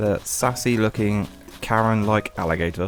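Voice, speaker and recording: Over music in the background, a man with a fairly low pitch talks at a fairly slow pace. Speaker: gaming content creator. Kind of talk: casual let's play commentary.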